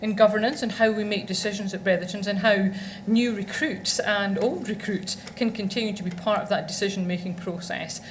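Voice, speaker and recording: A woman with a Scottish accent talks at a very fast pace and a medium pitch. Room echo is audible. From Scotland. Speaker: law firm executive. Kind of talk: conference presentation. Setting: stage with audience.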